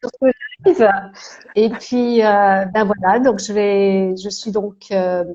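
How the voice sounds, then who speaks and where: Her pitch sits in the medium range for a woman. The woman speaks with monotone, flat intonation. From France, Alsace (Strasbourg). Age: 60s. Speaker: holistic therapist and coach. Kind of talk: live interview, casual chat. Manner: hesitant, many fillers.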